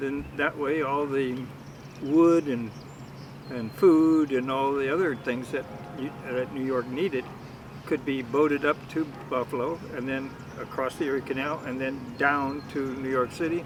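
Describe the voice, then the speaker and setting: Speaking slowly with long, frequent pauses, a man uses an American accent and a fairly high pitch. His intonation is fairly even, over noticeable background noise. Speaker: family member guest. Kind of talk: casual chat.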